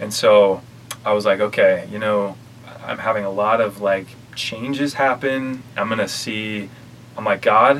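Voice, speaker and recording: A man with an American accent, fairly slow and fairly even in intonation, amid noticeable background noise. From Utah, north of Salt Lake City. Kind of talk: casual interview testimony.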